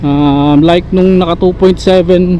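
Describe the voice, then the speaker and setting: Against noticeable background noise, a man speaks with a high pitch. His pace is fairly slow, with ordinary pitch variation. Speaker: motorcycle vlogger testing action camera. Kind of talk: casual vlog while riding. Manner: speaking more softly than usual.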